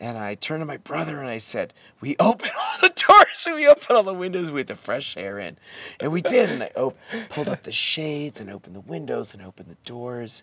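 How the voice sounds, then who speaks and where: A man talking at a fairly quick pace with big swings in loudness, the sound dry and close with no echo, over noticeable background noise. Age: 50s. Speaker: men's work facilitator. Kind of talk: casual chat.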